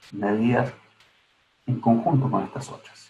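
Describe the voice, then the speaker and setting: The delivery is at a moderate pace. It's a man, and he sounds somewhat breathy. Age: 60s. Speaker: gerontology researcher. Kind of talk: online lecture. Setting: online seminar. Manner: halting.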